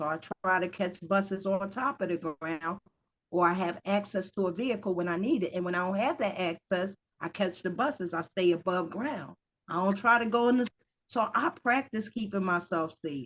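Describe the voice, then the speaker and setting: A woman speaks with a plain, everyday voice. Her pitch is medium, with ordinary pitch variation, and her pace is moderate. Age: 50s. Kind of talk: interview answer.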